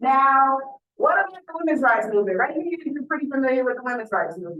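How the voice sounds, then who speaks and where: In an animated tone, a woman with a bright, sharp, high-pitched voice speaks at a fairly quick pace with lively intonation, and audible room echo surrounds her. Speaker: university lecturer. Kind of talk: lecture. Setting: lecture hall with students. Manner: animated, engaging.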